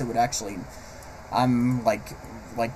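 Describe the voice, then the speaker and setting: A man speaks over noticeable background noise. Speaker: vlogger, aspiring animator. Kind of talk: personal vlog monologue. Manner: halting, stammering; unscripted, hesitant.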